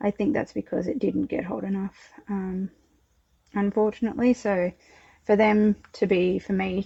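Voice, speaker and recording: A dark, mellow tone marks this woman's somewhat breathy voice. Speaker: home potter. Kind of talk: casual tutorial-style kiln unloading.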